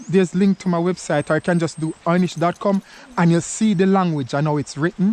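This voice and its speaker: The speaker has a Jamaican accent. Noticeable background noise runs underneath. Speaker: vlogger. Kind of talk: casual chat. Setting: outdoors. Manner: halting.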